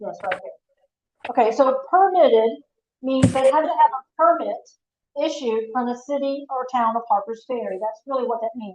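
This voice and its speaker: A woman's high-pitched voice with ordinary pitch variation, big swings in loudness, and long, frequent pauses. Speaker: town official. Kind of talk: council meeting discussion. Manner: fast.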